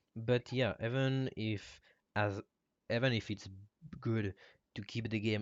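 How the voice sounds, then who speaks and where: Speaking with a non-native accent, a man uses a fairly low pitch and fairly even intonation. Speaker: game modder. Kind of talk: live stream Q&A. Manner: halting.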